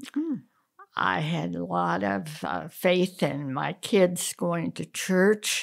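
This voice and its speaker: Very slow and marked by vocal fry, a woman's very deep, low voice moves through very wide pitch swings. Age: 80s+. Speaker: interviewee. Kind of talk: casual chat. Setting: manicure session. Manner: halting.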